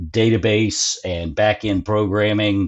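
This man has a Southern US accent and a fairly low pitch. His pitch varies in an ordinary way. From US South, North Carolina. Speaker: tech company co-founder. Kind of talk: casual interview.

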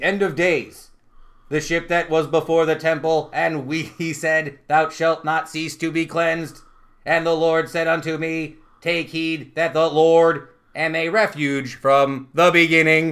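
In a put-on robotic character voice, a man speaks fairly slowly at a fairly high pitch with monotone, flat intonation, on a very clean recording with a silent background. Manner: solemn, biblical.

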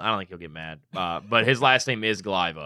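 Moving at a fairly quick pace, a man's voice has a bright, sharp tone. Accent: American. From US Midwest (Northwest Indiana). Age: 20s. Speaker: sports radio co-host. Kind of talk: casual interview chat. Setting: arena suite studio.

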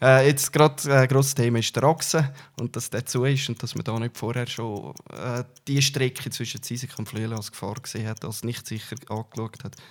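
A man speaks with a slight Uri accent and fairly even intonation. His loudness swings a lot. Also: medium pitch for a man, moderate pace. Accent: Swiss German, Uri dialect, somewhat mild. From Switzerland, Uri (Altdorf). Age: 40s. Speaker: politician. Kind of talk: interview. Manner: hesitant, frequent fillers.

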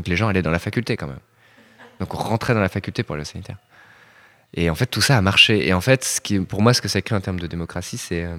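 A man with a very deep, low pitch and a bright, sharp tone talks at a very fast pace with long, frequent pauses and ordinary pitch variation, in a dry, close sound with no echo. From Rennes, France. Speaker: architect. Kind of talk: interview.

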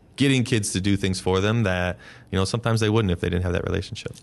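With a Midwestern American accent, a man speaks with fairly even intonation against a quiet background. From northeast Ohio, US. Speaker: school principal. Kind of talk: casual interview.

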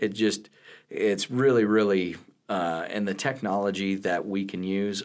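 In a very clean recording with a silent background, a man with an American accent uses a plain, everyday voice at a fairly low pitch and a fairly slow pace. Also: fairly even intonation. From western Nebraska (Hemingford). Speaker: college math instructor. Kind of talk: interview.

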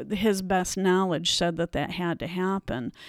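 In a very clean recording with a silent background, someone speaks with an American accent. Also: woman, dry, close sound with no echo. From upstate New York. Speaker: church member sharing her cancer experience. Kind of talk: interview testimony.

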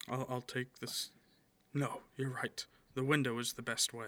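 At a moderate pace, a man of medium pitch uses a put-on character voice with a nervous tone. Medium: actual play.

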